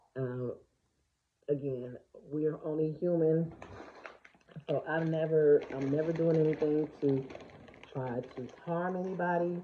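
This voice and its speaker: With a very deep, low pitch, a woman talks at a fairly slow pace, her intonation fairly even and her speech broken by long, frequent pauses. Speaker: vlogger, small YouTube creator. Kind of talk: casual vlog monologue. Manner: conversational, hesitant with fillers.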